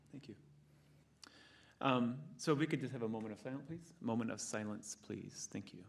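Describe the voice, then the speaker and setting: A man's medium-pitched voice with vocal fry, fairly quick in pace, with long, frequent pauses, big swings in loudness and ordinary pitch variation. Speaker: school board president chairing meeting. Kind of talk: public meeting.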